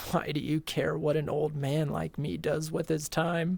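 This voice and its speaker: Putting on a character voice, a woman talks in a raspy, rumbling, very deep, low pitch with monotone, flat intonation at a moderate pace, on a very clean recording with a silent background. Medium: virtual streamer. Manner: slow, grumbling.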